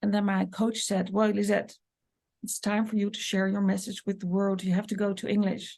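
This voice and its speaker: This woman has a Dutch accent and a medium pitch, and she speaks in a flat monotone. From Netherlands. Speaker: business coach and medium. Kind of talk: podcast monologue.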